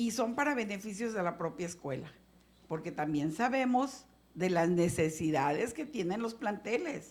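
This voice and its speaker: A woman's somewhat breathy voice makes very wide pitch swings, with audible room echo around it. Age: 60s. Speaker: legislator. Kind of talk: legislative meeting remarks.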